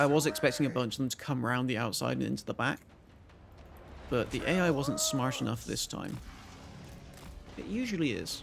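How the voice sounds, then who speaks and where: A man at a fairly quick pace, with long, frequent pauses and noticeable background noise. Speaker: game streamer. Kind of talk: live gameplay commentary. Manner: trips over words.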